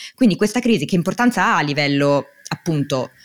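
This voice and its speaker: This woman has a very deep, low pitch and very wide pitch swings at a moderate pace. The sound is dry and close, with no echo. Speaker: podcast host. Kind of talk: podcast interview.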